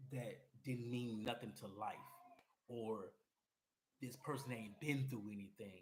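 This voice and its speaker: Somewhat breathy and animated, a man with an American accent speaks at a fairly slow pace, medium pitch, and ordinary pitch variation amid audible room echo. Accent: sounds like Cleveland and Atlanta. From US Midwest and Atlanta. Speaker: podcast host and musician. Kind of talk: personal monologue. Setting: solo to camera. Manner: animated, repetitive.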